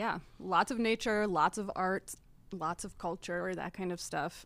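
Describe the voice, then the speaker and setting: Very clean, with a silent background, this recording has a woman speaking in an Upper Midwest accent. She talks at a moderate pace and medium pitch with ordinary pitch variation. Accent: Upper Midwest American. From Wisconsin, Appleton. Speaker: board member and co-op outreach coordinator. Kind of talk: casual interview chat.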